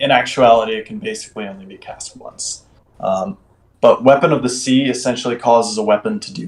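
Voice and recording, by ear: The passage is delivered by reading aloud in a natural voice.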